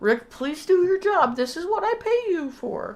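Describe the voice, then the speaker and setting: Put-on character voice from a woman, pitch extremely high, very wide pitch swings, pace moderate. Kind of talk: controlled, restrained anger. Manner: calm, through gritted teeth.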